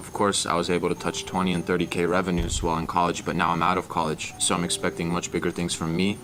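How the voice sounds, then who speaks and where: Music runs behind this speaker. He is a man with an American accent. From US South. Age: 20s. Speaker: young entrepreneur. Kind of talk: interview. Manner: animated.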